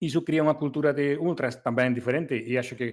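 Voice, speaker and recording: A man with a non-native accent talks at a fairly quick pace, his intonation fairly even. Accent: foreign accent in Portuguese. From Galicia, Spain. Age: old. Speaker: race organizer. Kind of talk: casual chat. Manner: hesitant, many fillers.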